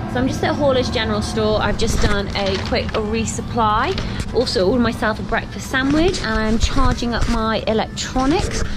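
Music plays in the background while the talking proceeds at a moderate pace. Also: woman. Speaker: long-distance hiker vlogger. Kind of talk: casual vlog chat. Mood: relaxed, chatty. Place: shop. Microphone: phone near.

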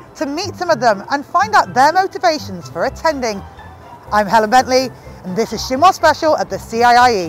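Over faint music in the background, a woman's voice has a dry sound with no echo. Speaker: news correspondent. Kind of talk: news report to camera. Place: hall. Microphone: lapel.

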